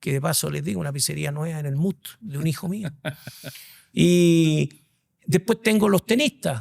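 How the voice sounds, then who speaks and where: In a Chilean accent, a man with a fairly high pitch speaks in a somewhat breathy voice, the sound dry and close with no echo. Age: 60s. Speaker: executive headhunter. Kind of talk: interview conversation.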